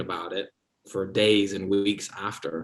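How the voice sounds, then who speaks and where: A man speaks with an American accent. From London, UK. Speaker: actor. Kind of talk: casual interview.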